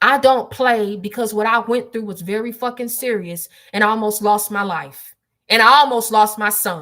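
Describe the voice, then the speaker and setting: A woman's raised, projected voice, bright and sharp in tone, at a fairly slow pace. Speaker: spiritual livestreamer. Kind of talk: livestream testimony. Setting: livestream from desktop. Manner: loud, projected; emphatic.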